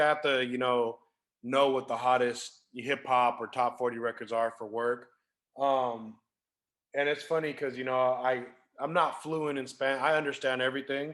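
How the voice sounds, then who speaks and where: Speech in a Californian accent with ordinary pitch variation. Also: man. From Sacramento, California. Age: 30s. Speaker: DJ and event planner. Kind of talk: casual interview.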